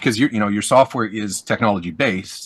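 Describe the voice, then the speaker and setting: Over a quiet background, a man speaks at medium pitch. His pitch varies in an ordinary way. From Canada. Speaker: podcast host. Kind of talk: interview conversation.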